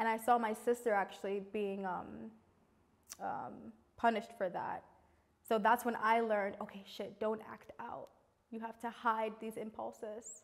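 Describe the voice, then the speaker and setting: With a New York accent, the speaker uses monotone, flat intonation, big swings in loudness, and long, frequent pauses. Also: woman, fairly high pitch for a woman, moderate pace. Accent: New York American. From New York City. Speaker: multi-creative artist; interviewee. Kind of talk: interview testimony. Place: studio. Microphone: lapel.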